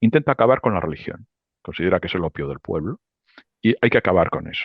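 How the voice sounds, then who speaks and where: Very wide pitch swings mark this man's very fast speech. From Spain, Barcelona (Catalonia). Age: 60s. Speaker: economist and political analyst. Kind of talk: interview. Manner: animated.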